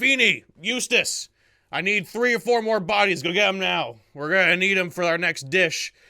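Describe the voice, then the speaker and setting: In a put-on, gruff character voice, a man speaks at a moderate pace with high pitch and lively intonation, on a very clean recording with a silent background. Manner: commanding.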